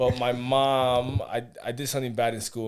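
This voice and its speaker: This is a man speaking with an American accent. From New York City. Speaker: basketball coach. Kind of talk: casual chat. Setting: studio.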